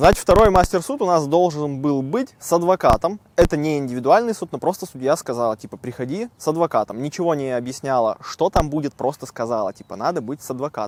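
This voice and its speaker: This man talks at a fairly quick pace with hardly any pauses, his fairly high pitch carried by lively intonation and big swings in loudness, in a dry, close sound with no echo. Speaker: vlogger. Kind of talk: casual vlog talk. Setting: outdoors in a park. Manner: conversational, informal.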